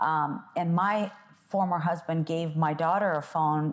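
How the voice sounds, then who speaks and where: At a fairly slow pace, a woman talks in a fairly low pitch with fairly even intonation. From Belarus, moved to US at nine. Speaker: entrepreneur and mother. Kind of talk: casual interview conversation. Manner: hesitant, many fillers.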